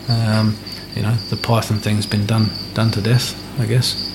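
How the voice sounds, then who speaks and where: A man in an Australian accent, monotone and flat, with noticeable background noise. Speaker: reptile breeder and keeper. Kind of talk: casual interview chat. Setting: at his home beside animal enclosures. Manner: hesitant, many fillers.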